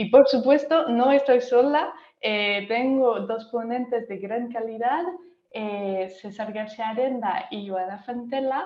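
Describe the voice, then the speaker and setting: Speaking very slowly with a French accent, a woman uses a fairly high pitch with ordinary variation and big swings in loudness, and audible room echo is present. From France. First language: French (speaking Spanish). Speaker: workshop moderator. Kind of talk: online workshop moderation. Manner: hesitant, many fillers.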